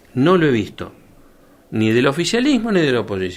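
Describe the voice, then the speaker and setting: In a Rioplatense accent, a man speaks at a fairly quick pace. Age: 60s. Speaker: doctor and former health official. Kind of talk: radio interview. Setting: radio studio.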